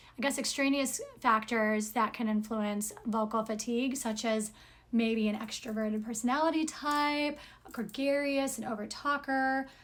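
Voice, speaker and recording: A woman speaks loudly in a fairly high voice. Her intonation stays fairly even. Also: moderate pace. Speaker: singer and speech-language pathology lecturer. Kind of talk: lecture.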